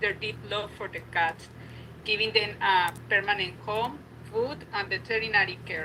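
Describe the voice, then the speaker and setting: With a non-native accent, a woman speaks at medium pitch and a moderate pace. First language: not English. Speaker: sanctuary volunteer. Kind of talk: public hearing comment. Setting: video call.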